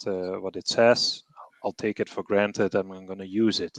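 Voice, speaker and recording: Against a quiet background, a man with a non-native accent talks at a moderate pace in a fairly low pitch with fairly even intonation, the sound dry and close with no echo. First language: not English. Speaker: treasury professional, panelist. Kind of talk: webinar panel discussion.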